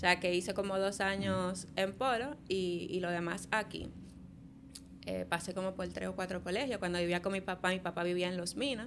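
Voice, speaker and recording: A woman with a southern Dominican accent talks at a moderate pace, using medium pitch and fairly even intonation. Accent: southern Dominican, swaps L and R. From Dominican Republic, south (Barahona). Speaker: architect. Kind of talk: casual interview.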